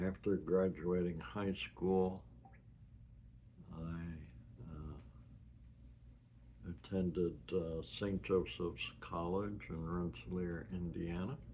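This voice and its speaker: A man with an American accent and a very deep, low voice, speaking very slowly, with ordinary pitch variation and long, frequent pauses. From US Northeast (New York, New Jersey, Massachusetts). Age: 70s. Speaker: retiree sharing his life story. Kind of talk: personal life-story recording. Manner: halting, with many fillers.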